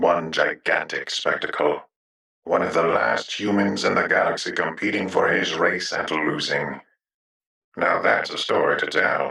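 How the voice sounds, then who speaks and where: A man's put-on character voice at a moderate pace, with slight echo. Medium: audio drama. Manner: cynical, worldly, blunt.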